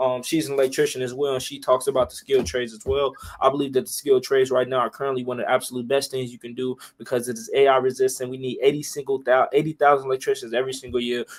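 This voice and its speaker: Very fast speech with an American accent and big swings in loudness. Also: man, medium pitch for a man. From Chicago, US Midwest. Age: 20s. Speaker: union electrician and motivational speaker. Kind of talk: casual panel discussion. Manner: animated.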